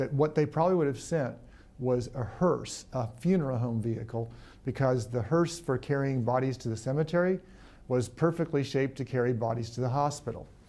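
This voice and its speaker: A man with an American accent talks at a fairly quick pace. His medium-pitched voice has a dark, mellow tone. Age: 60s. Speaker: emergency physician. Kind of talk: interview.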